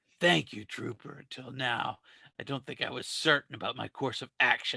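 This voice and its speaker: A man uses a put-on character voice that is raspy and medium in pitch. He keeps a moderate pace. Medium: solo performance. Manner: cool, deadpan.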